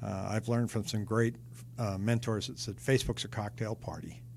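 Somewhat breathy and in an American accent, the voice moves at a moderate pace with monotone, flat intonation. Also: man. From Seattle, US Pacific Northwest. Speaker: real estate agent. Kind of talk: interview.

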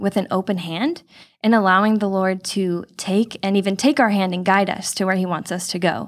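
A woman speaks at a fairly quick pace in a Californian accent, her pitch medium. The recording is very clean, with a silent background. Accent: General American (Californian). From Southern California (Chino Hills). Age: 20s. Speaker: future missionary, church member. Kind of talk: casual interview. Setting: studio.

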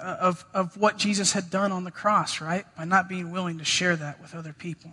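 His voice is raised and projected. The man's tone comes across bright and sharp. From rural area. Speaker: guest preacher. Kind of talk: sermon. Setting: church.

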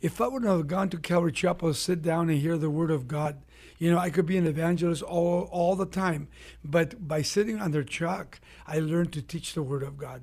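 Talking at a fairly quick pace, a man has a high-pitched voice. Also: ordinary pitch variation. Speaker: pastor. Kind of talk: casual chat. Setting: studio.

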